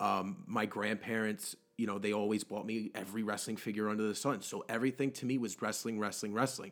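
A man speaks at a fairly quick pace with fairly even intonation in a normal speaking voice. The recording is very clean, with a silent background. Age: 20s. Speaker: weight loss story guest. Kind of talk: casual interview.

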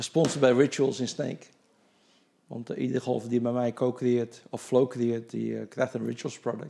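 A medium-pitched man with monotone, flat intonation. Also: moderate pace. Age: 60s. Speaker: golf coach and charity golfer. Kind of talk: casual interview.

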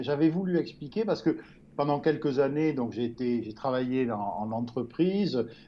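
A man talks fairly slowly, his intonation lively. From France, Gironde near Bordeaux. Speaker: journalist and writer. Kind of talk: interview. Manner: halting, many repetitions.

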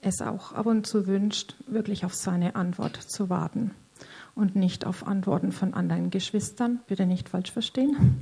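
A woman's somewhat breathy voice has a dark, mellow tone and moves at a fairly slow pace. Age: 50s. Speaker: church member sharing testimony. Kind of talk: testimony. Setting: stage in church service. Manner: halting.

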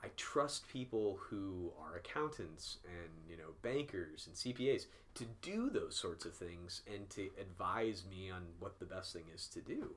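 There is audible room echo as a man with an American accent talks at a fairly slow pace, with hardly any pauses and big swings in loudness. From US Midwest, Peoria, Illinois. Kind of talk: Q&A answers in recorded video. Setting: video recording at a church.

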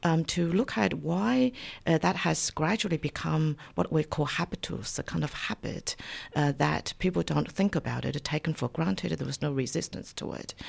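A woman speaks at a moderate pace with a Chinese accent. The recording is very clean, with a silent background. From China. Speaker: university lecturer. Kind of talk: radio interview. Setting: studio. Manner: halting, many fillers.

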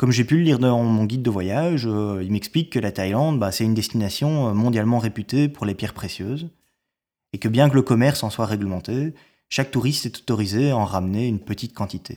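A man with a slight Belgian accent and a dark, mellow tone talks fairly quickly at medium pitch with ordinary pitch variation. The recording is very clean, with a silent background. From Belgium. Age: 30s. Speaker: storyteller. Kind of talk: personal narrative. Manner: hesitant, many fillers.

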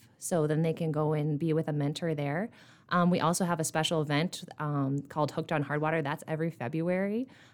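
A woman's very deep, low voice in an Upper Midwest accent, fairly quick, with fairly even intonation and a very clean recording over a silent background. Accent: Upper Midwest American. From eastern South Dakota. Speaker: nonprofit fundraising director. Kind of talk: casual interview.

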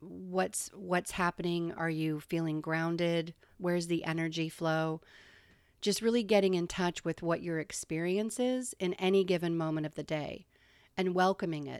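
This is an unremarkable speaking voice, a woman with a fairly low pitch at a moderate pace. Her intonation is fairly even, and the recording is very clean with a silent background. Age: 50s. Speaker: radio host. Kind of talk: solo radio monologue. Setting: radio broadcast.

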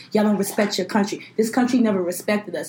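Speaking very fast in an American accent, a woman with a medium pitch sounds animated over noticeable background noise. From Brooklyn, New York. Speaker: podcast co-host, law student. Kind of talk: casual chat.

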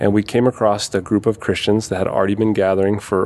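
An American accent marks this man's unremarkable speaking voice, which is fairly low and fairly even in intonation at a fairly quick pace.

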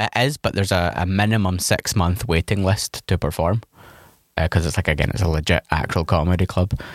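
Over a silent background in a very clean recording, a man with a very deep, low pitch and ordinary pitch variation speaks at a fairly quick pace, his loudness very even and the sound dry and close with no echo. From Scotland. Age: 30s. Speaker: stand-up comedian. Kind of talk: casual chat. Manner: halting.

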